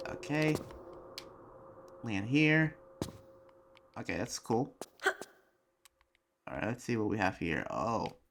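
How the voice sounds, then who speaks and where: Long pauses come often in this fairly slow delivery. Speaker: gaming youtuber. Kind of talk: gameplay commentary. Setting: at home late at night. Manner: quiet, held back to avoid being loud.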